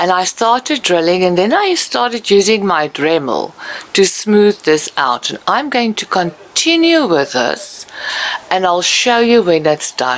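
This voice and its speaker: A woman with a non-native accent, very wide pitch swings and a fairly slow pace, against noticeable background noise. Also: medium pitch for a woman. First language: not English. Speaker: DIY and garden video maker. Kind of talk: hands-on tutorial. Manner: hesitant, with frequent fillers.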